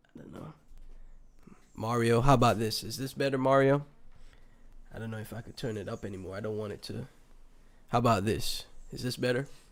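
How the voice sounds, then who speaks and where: A man's fairly quick speech with fairly even intonation, long and frequent pauses, and big swings in loudness, in a very clean recording over a silent background. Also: medium pitch for a man. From Saint Kitts and Nevis (Caribbean). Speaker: crypto livestreamer. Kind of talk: casual livestream commentary. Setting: livestream with chat.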